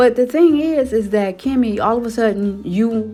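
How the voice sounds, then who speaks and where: Her intonation is lively. Music can be heard in the background. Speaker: YouTube reality TV commentator. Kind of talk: casual reality TV commentary vlog. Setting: at work. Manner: animated.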